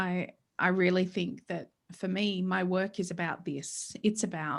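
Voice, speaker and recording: At a fairly slow pace and with fairly even intonation, the speaker talks with an Australian accent on a very clean recording with a silent background. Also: woman, medium pitch for a woman. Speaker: psychologist and author. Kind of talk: interview conversation.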